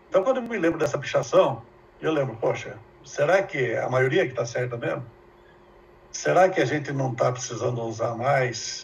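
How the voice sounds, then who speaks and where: Through noticeable background noise and audible room echo, a man speaks with lively intonation. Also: fairly high pitch for a man, moderate pace. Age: 70s. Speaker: professor. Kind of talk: lecture.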